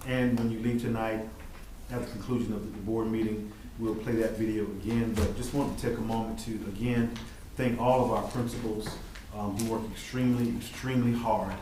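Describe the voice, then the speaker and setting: A medium-pitched man's fairly quick, monotone, flat speech, with audible room echo and noticeable background noise. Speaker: school district administrator. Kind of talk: board meeting report.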